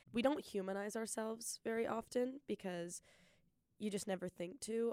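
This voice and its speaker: Heard with a dry, close sound and no echo, a woman speaks in a dark, mellow tone with ordinary pitch variation. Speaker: podcast host. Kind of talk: solo podcast monologue. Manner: fast talker.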